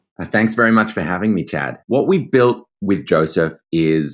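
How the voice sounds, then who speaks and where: Ordinary pitch variation accompanies speech delivered with an Australian accent. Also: man. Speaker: legal tech founder and lawyer. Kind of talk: interview.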